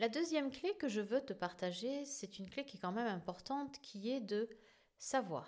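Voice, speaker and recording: At a moderate pace and a fairly high pitch, a woman in a normal speaking voice uses lively intonation. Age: 50s. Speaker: podcast host and therapist. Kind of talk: solo podcast monologue.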